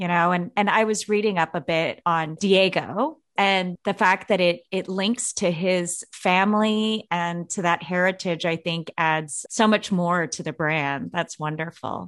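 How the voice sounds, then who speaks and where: A woman's unremarkable speaking voice, fairly low-pitched, with ordinary pitch variation, a fairly slow pace, hardly any pauses and a quiet background. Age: 40s. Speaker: podcast host. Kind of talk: interview.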